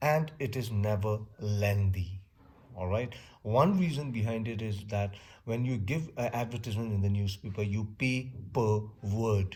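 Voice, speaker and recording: Audible room echo surrounds a man speaking at a fairly slow pace and a fairly low pitch. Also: ordinary pitch variation. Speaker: teacher. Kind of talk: lecture. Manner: loud. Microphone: close to the mic.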